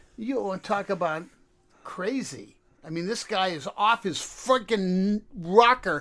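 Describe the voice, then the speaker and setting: A man speaks in an animated tone with a high pitch. His pace is fairly slow, with ordinary pitch variation. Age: 70s. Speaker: radio show co-host. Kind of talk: casual chat.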